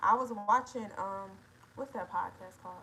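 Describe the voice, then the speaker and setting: Speaking at a moderate pace with ordinary pitch variation, a woman at medium pitch is heard over noticeable background noise. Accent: American. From Detroit, Michigan. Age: 20s. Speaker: livestreamer. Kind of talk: casual livestream chat reading comments.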